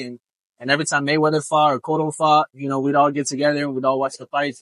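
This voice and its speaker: Recorded dry and close with no echo, a man speaks in a fairly high voice with monotone, flat intonation. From Tampa, Florida (Puerto Rican family). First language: Spanish. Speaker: professional boxer. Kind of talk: interview. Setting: outdoors on a beach.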